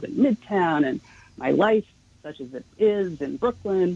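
With an American accent, a woman speaks at a moderate pace. Her pitch swings very widely, and the sound is dry and close with no echo. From New York City, Manhattan. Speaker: journalist and author. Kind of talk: radio interview.

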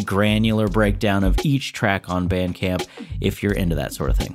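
Here is a man with a normal speaking voice and a fairly low pitch. He talks at a moderate pace with ordinary pitch variation. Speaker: manager and intro reader. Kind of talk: scripted intro read.

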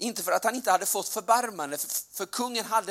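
The background is silent and the recording very clean as a man speaks. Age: 40s. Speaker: preacher. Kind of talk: sermon.

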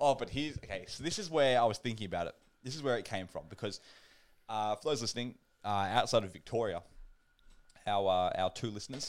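With an Australian accent, a man at medium pitch talks at a fairly quick pace, using ordinary pitch variation and long, frequent pauses. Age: 20s. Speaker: podcast host. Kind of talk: casual chat. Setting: online call.

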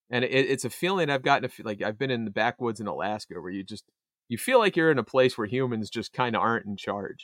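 Speaking at a fairly quick pace, a man has a medium pitch and a plain, everyday voice. The recording is very clean with a silent background and a dry, close sound with no echo. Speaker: podcast co-host. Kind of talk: casual banter, movie review podcast. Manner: joking, profane.

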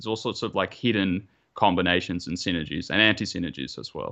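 In an Australian accent, a man talks very fast with a bright, sharp tone and ordinary pitch variation against a quiet background. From Australia, Melbourne. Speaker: competitive wargamer. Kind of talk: casual chat.

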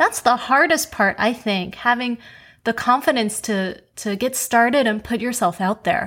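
A plain, everyday voice from a woman with an American accent, fairly high in pitch, at a moderate pace, in a very clean recording with a silent background. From US, New York (Queens). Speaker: podcast host. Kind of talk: interview; scripted announcement.

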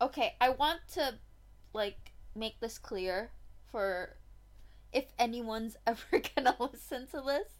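Speaking at a very slow pace with long, frequent pauses, a woman with a high pitch uses lively intonation. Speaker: podcast co-host. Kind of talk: casual chat.

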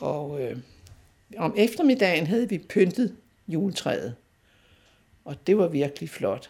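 With vocal fry and a dark, mellow tone, the voice moves at a very slow pace through long, frequent pauses and very wide pitch swings. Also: woman, medium pitch for a woman. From North Zealand, Denmark (near Fredensborg). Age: 80s+. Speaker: local history storyteller. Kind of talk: personal reminiscence interview.

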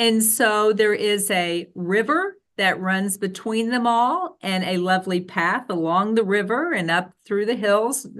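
At a fairly slow pace with hardly any pauses, a woman with an American accent talks at a medium pitch with ordinary pitch variation in an unremarkable speaking voice.

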